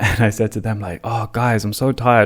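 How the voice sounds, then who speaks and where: Fairly quick speech from a man, with an English accent. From England. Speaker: podcast host. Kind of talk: casual storytelling. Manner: animated.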